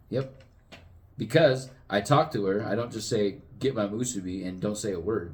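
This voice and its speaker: Lively intonation runs through a voice that is somewhat breathy. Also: man. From Southern California. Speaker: podcast co-host. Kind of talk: casual chat.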